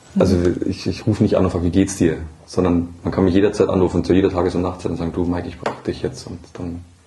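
Against noticeable background noise, a man talks at a very fast pace. His very deep, low voice stays monotone and flat. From Upper Bavaria, Germany. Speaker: emergency department nurse. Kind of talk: interview conversation. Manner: hesitant with many fillers.

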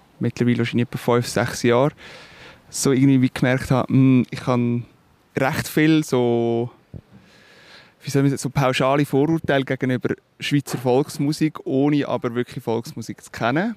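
Someone with a Swiss accent speaks at a moderate pace with fairly even intonation, leaving long, frequent pauses. The sound is dry and close, with no echo. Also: man. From Switzerland. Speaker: musician, singer-songwriter. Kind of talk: interview. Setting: outdoors by a river. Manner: hesitant, with fillers.

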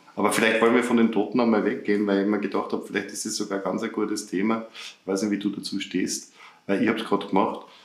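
A fairly low-pitched man at a very fast pace, with monotone, flat intonation, noticeable background noise and audible room echo. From Upper Austria. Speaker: podcast co-host. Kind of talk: casual chat.

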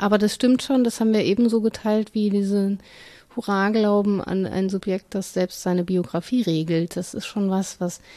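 Her intonation monotone and flat, a woman with a medium pitch and a dark, mellow tone speaks at a moderate pace. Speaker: podcast co-host, academic. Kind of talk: casual conversation.

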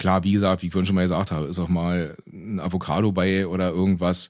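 A very deep, low male voice, flat and monotone, at a fairly quick pace on a very clean recording with a silent background. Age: 30s. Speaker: vegan cook and road construction master. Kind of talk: casual interview. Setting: in person.

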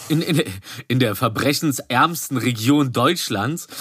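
A man with a bright, sharp tone, a fairly high pitch and lively intonation. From Berlin, Germany. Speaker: podcast co-host. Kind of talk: casual chat.

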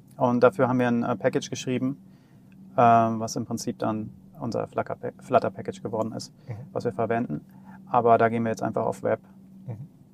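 The pace is fairly quick, broken by long, frequent pauses. Pitch variation is ordinary. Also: man, medium pitch for a man. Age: 40s. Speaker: startup CTO and software developer. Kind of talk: casual technical interview. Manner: hesitant, many filler sounds.

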